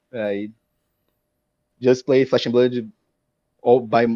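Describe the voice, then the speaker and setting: A very slow delivery in a Portuguese accent. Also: man. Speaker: card game player. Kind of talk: interview. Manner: halting.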